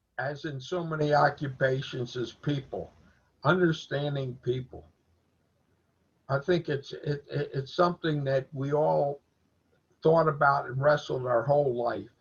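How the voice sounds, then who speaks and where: A man talks at a fairly slow pace, leaving long, frequent pauses. His fairly high pitch stays fairly even, and his voice is somewhat breathy. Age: 80s+. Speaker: learning community member. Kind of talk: casual chat.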